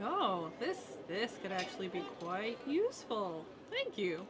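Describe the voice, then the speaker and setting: A female-sounding put-on character voice at a fairly slow pace, with loud background noise. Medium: actual play. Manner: warm, friendly.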